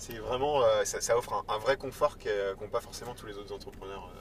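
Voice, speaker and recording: A man speaks at a moderate pace. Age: 30s. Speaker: startup executive. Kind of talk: casual interview. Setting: in a car.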